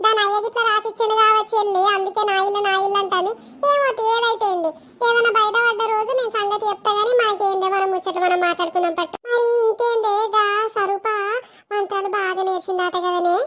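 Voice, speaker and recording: A cartoonish character voice sounds female and extremely high-pitched. It moves at a moderate pace. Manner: chatty, conspiratorial.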